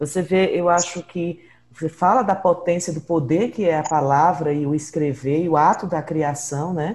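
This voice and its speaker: A woman talks in a normal speaking voice at a moderate pace, her fairly low pitch showing ordinary pitch variation. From Brazil, Northeast (born in Ceará, raised in Pernambuco). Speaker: podcast host and researcher. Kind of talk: interview.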